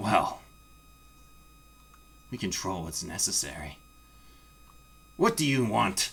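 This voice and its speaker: Using a put-on character voice, a man moves at a fairly slow pace with long, frequent pauses. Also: fairly low pitch for a man. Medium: actual play.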